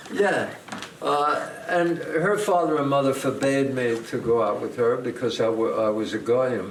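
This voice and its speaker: Lively intonation marks this fairly slow delivery in a New York accent, with audible room echo and noticeable background noise. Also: man, medium pitch for a man. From US Northeast. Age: 80s+. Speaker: actor. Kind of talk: casual chat.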